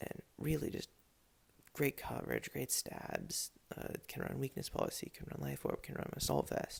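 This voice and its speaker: A man whispers quietly at a moderate pace. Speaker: video game league commentator. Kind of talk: casual solo commentary. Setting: home at midnight. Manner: quiet, whispered.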